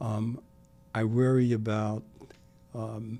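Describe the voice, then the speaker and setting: Music plays in the background as a man speaks. His medium-pitched voice has a monotone, flat intonation. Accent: American. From US Northeast, Brooklyn, New York. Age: 70s. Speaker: civic leader. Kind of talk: podcast interview. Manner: halting, with many repetitions.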